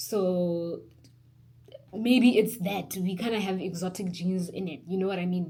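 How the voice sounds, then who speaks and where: A woman speaks in a room with audible echo. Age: 20s. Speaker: beauty vlogger. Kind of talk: casual vlog tutorial. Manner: chatty, animated.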